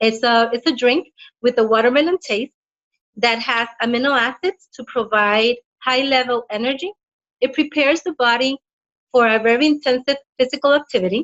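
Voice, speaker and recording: Speaking at a moderate pace with a non-native accent, a woman uses a high voice with ordinary pitch variation. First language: not English. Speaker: health practitioner and product presenter. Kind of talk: product presentation read from notes. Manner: halting.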